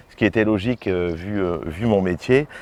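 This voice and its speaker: In a dry, close recording with no echo, a man's fairly low, dark, mellow voice moves with ordinary pitch variation. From northern France, mining basin (Lens). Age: 40s. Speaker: mayor, politician. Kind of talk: interview. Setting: outdoors in a garden. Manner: hesitant, repeats words.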